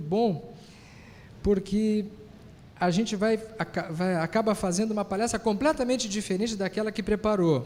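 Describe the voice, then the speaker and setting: A man with a high voice speaks at a moderate pace. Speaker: physician and spiritist lecturer. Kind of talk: lecture.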